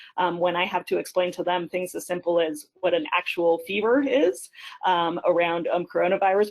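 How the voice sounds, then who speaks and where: At a moderate pace, a woman speaks in a fairly low pitch with a normal speaking voice. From Colorado, Denver area. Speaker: pediatrician and state senator. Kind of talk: webinar panel discussion. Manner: many filler words, frequent ums.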